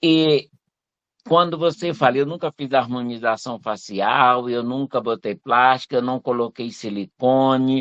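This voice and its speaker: An ordinary speaking voice from a man, medium in pitch, at a fairly slow pace with ordinary pitch variation. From Teresina, Piauí, northeastern Brazil. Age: 60s. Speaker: retired civil servant, audience participant. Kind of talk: personal testimony in live Q&A.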